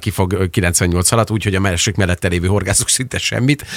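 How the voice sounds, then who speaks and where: Very fast speech with ordinary pitch variation, dry and close with no echo. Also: man. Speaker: radio co-host. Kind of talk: casual radio interview. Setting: studio.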